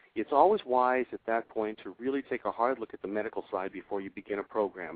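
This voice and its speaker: At a fairly quick pace, a man with an ordinary speaking voice talks at a medium pitch with ordinary pitch variation. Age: 60s. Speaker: fitness trainer and author. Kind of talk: interview.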